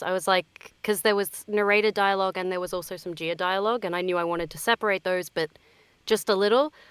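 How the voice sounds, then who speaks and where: At a very fast pace, a woman of medium pitch speaks with an Australian accent and fairly even intonation, in a dry, close sound with no echo. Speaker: voice actor. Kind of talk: interview.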